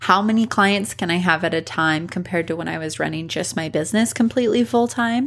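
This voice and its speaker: A woman with a normal speaking voice talks at a fairly quick pace in a medium pitch, with hardly any pauses. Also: ordinary pitch variation. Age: 20s. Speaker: podcast host, brand designer. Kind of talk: solo podcast monologue.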